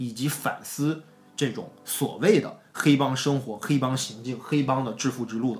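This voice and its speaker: A man with a northeastern Chinese accent talks at a moderate pace in a medium pitch, with music in the background. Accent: Northeast Chinese. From Northeast China. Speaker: film commentator. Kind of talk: casual chat.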